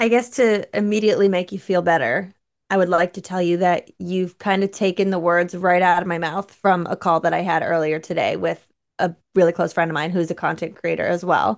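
Against a quiet background, a woman with a normal speaking voice talks at a fairly quick pace. Her pitch is fairly low and her intonation fairly even. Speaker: digital content creator. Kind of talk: casual interview chat.

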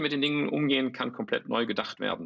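A man's fairly high-pitched voice with vocal fry. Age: 50s. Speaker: startup founder. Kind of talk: interview. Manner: halting, many fillers and repetitions.

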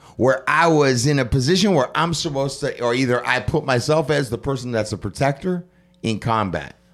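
In a very clean recording with a silent background, a man with a plain, everyday voice speaks at a fairly quick pace and medium pitch, with ordinary pitch variation. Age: 50s. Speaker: podcast host. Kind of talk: casual interview. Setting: hotel room recording.

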